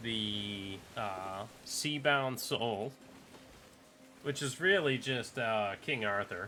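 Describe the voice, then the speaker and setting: A man's bright, sharp voice at medium pitch and a very slow pace. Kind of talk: casual gameplay commentary. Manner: monotone.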